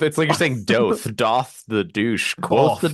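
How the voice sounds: With a plain, everyday voice, the speaker goes at a fairly slow pace, using lively intonation at a very even loudness. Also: man, medium pitch for a man.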